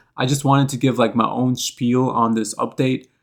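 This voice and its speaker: A man with a normal speaking voice talks at medium pitch and a moderate pace. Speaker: gaming youtuber. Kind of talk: scripted commentary.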